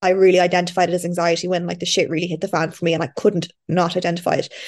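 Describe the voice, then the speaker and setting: The speaker talks with a Dublin accent. The pace is very fast. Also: woman. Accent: Irish (Dublin). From Ireland, Dublin. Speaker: podcast host. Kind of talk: casual chat. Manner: animated.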